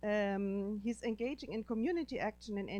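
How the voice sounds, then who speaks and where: With a German accent, a woman speaks at a fairly quick pace in a dark, mellow tone. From Germany. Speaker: professor and panel moderator. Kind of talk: panel introduction.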